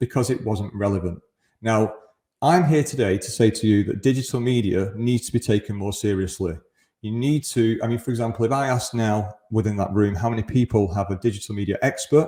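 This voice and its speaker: A somewhat breathy, dark and mellow voice with a Mancunian accent, ordinary pitch variation and a fairly quick pace. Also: man, medium pitch for a man. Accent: Mancunian (northern English). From Greater Manchester, northern England. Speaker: conference speaker, e-commerce agency founder. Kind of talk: conference presentation. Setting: remote presentation to live event.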